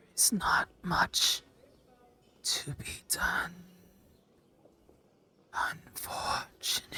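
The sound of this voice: A put-on character voice in a whisper, at a very slow pace with long, frequent pauses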